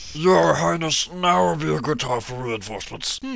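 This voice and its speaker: A medium-pitched man's voice with very wide pitch swings over light background noise. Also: moderate pace. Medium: fan dub. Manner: childish, excitable.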